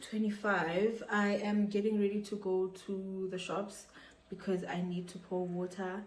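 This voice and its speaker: The speech moves at a fairly slow pace with monotone, flat intonation over noticeable background noise. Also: woman. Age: 20s. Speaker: nurse and midwife. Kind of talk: casual vlog talk to camera.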